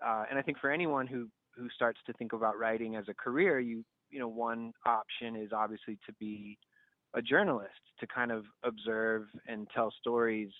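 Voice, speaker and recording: At a moderate pace, a man talks in a plain, everyday voice with a medium pitch and fairly even intonation. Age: 30s. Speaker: nonprofit founder. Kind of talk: interview.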